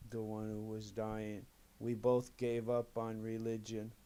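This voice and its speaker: A man's dark, mellow voice at a medium pitch, flat and monotone in intonation. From New York City. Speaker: atheist interviewee. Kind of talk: interview testimony.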